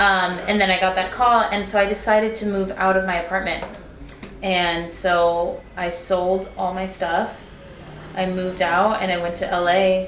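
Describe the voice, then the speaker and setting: A woman with an American accent speaks at a fairly slow pace in a monotone, flat intonation. Audible room echo and noticeable background noise surround her voice. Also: medium pitch for a woman. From Texas, El Paso. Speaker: singer. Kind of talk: casual chat.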